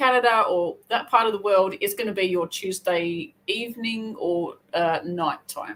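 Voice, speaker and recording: With an Australian accent, a woman speaks at a fairly slow pace. Her fairly high pitch shows ordinary variation. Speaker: crochet youtuber. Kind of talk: casual livestream chat. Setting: livestream. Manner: chatty, rambling with self-corrections.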